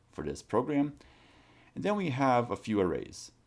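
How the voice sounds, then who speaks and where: A man's lively intonation carries through his moderate pace. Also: very clean recording, silent background. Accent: non-native. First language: not English. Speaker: college programming instructor. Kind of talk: tutorial. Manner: casual, with many fillers.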